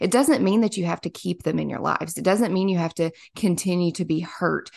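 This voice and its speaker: A woman with an American accent and vocal fry talks at a fairly low pitch with fairly even intonation, against a quiet background. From US South, small-town Kentucky. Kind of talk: casual faith interview.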